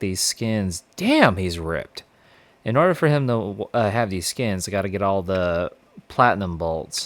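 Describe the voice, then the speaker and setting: A man with a fairly low pitch at a moderate pace. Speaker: gaming YouTuber. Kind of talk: let's play commentary. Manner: halting, self-correcting.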